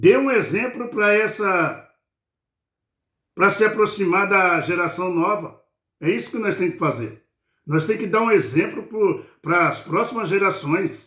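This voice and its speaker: This man's high-pitched voice has a bright, sharp tone and lively intonation, moving at a fairly slow pace with long, frequent pauses. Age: 60s. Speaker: lay preacher. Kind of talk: bible study sermon. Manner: informal, repetitive fillers.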